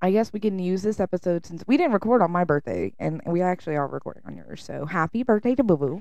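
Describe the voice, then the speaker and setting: In a Southern US accent, the speaker races along at a very fast pace with lively intonation, a dark, mellow tone, and big swings in loudness. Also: woman, medium pitch for a woman. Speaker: podcast co-host. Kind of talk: casual chat.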